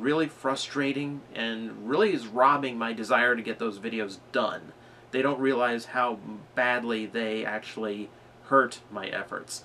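Fairly even intonation at a moderate pace, over light background noise. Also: man. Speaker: vlogger. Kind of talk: casual vlog chat. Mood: frustrated, serious. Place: home room.

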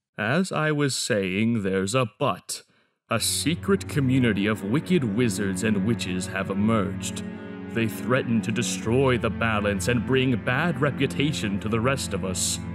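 A man's put-on character voice at a fairly low pitch, with faint music in the background. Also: moderate pace. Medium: fan dub. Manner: grandfatherly, solemn, earnest.

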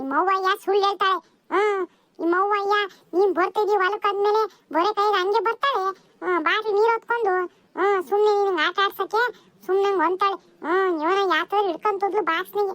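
A woman does a squeaky cartoonish character voice at an extremely high pitch, keeping a moderate pace, fairly even intonation, and very even loudness. The sound is dry and close with no echo. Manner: grumbling, peppered with 'hmm'.

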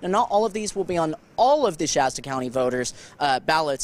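A man speaks at a fairly quick pace with ordinary pitch variation. The sound is dry with no echo. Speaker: TV news reporter. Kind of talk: live news report. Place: street. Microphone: handheld.

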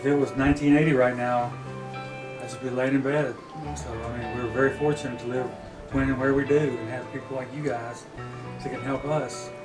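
A man at a fairly quick pace, monotone and flat in intonation, over clear background music. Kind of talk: casual demonstration and thanks. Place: home room. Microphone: camera far.

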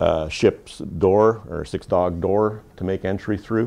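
This man has a very deep, low pitch and ordinary pitch variation, with a Canadian accent. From Canada. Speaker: fire trainer instructor. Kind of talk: classroom equipment training briefing. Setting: classroom with small group. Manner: informal, conversational, inviting questions. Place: classroom.

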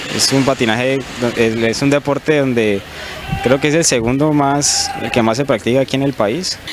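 A man at a fairly slow pace with ordinary pitch variation, the sound dry with no echo, over noticeable background noise. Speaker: speed skater. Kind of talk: interview. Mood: friendly, slightly shy. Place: stadium. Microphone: handheld.

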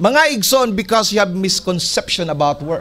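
The delivery is animated in tone and moderate in pace. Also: man. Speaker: pastor. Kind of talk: sermon. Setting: church. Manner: animated, exhortative preaching with call-and-response ("Can you say amen?"); switches between Cebuano and English. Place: church. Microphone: podium.

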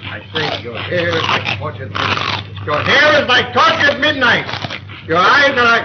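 Loud background noise surrounds the speaker. He is a man talking at a moderate pace. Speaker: comic suitor in a film. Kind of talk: acted comic film dialogue. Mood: flustered romantic, comic. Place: cafe. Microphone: old recording.

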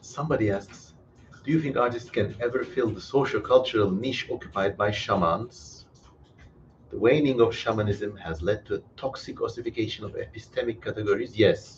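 A man at a fairly quick pace with ordinary pitch variation, music in the background. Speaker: live stream host. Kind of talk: live Q&A commentary. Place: home room. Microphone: headset.

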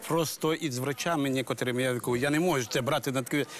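A man's voice, dry with no echo, at a moderate pace over light background noise. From Ukraine. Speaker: village head; talk show guest. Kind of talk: talk show testimony. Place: studio.

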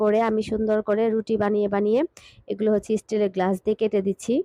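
Her fairly high pitch comes with a dark, mellow tone and monotone, flat intonation. The woman's loudness stays very even in a dry, close recording with no echo. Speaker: cooking vlogger. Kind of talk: cooking vlog. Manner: casual, conversational.

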